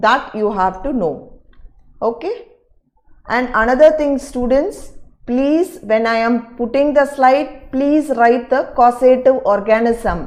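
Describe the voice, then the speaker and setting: A woman's high-pitched voice at a very slow pace, with ordinary pitch variation and audible room echo. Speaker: teacher. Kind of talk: online lecture. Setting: live online class.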